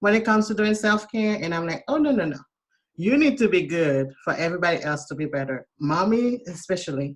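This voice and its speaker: A woman with a Haitian accent and lively intonation. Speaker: self-care coach. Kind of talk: casual chat.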